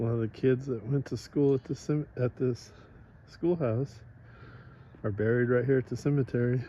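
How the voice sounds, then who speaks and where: A man's somewhat breathy, dark and mellow voice at medium pitch, at a moderate pace with fairly even intonation and long, frequent pauses. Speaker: motorcycle vlogger. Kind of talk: casual vlog narration. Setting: outdoors. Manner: whispering.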